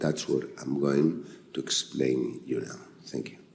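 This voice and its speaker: A man with a Spanish accent, audible room echo around his voice. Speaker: physician. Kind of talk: conference talk. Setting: stage with audience. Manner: halting.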